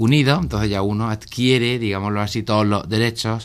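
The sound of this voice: Speaking at a fairly quick pace, a man with a fairly low pitch keeps his intonation fairly even.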